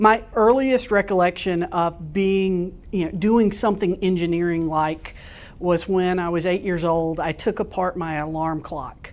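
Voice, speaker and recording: Speaking at a fairly slow pace with an American accent, a woman has a plain, everyday voice at medium pitch. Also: ordinary pitch variation. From US South, Florida Panhandle. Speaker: telecom executive. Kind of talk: interview.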